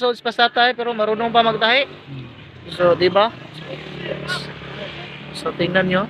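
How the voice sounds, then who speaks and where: A man uses a raised, projected voice at a high pitch, with ordinary pitch variation and a moderate pace. Long, frequent pauses break his speech, and the dry sound with no echo carries noticeable background noise. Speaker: vlogger. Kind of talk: casual talk to camera. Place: workshop. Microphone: phone near.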